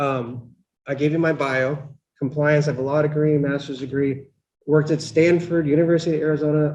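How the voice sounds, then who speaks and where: Fairly even intonation marks this man's fairly high-pitched voice as he speaks at a moderate pace. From Pennsylvania. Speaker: law professor. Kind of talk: lecture. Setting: lecture hall with live and online audience. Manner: loud; mumbling.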